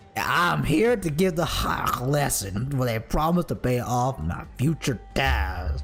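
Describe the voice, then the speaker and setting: Over clear music in the background, a man uses a put-on character voice at a fairly slow pace with hardly any pauses. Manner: silly, exaggerated.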